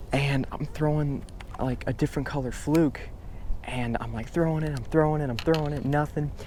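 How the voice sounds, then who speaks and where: In a room with audible echo, a man speaks at a moderate pace with a fairly high pitch. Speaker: fishing YouTuber. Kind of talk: casual outdoor vlog. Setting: outdoors on a boat.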